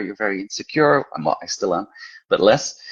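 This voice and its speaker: Against a quiet background, a man with a Belgian accent speaks at a fairly quick pace. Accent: Belgian Flemish accent in English. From Belgium, Brussels. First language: Flemish. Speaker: horror author and teacher. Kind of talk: casual interview chat.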